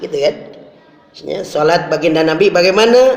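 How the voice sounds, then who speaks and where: A man speaks with a high pitch for a man. Audible room echo and noticeable background noise surround his voice. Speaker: Islamic preacher. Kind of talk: sermon. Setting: mosque. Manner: forceful at times.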